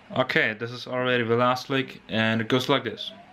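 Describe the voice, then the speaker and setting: This man's intonation stays fairly even while noticeable background noise carries on around him. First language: not English. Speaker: guitar teacher. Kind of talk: tutorial. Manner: halting.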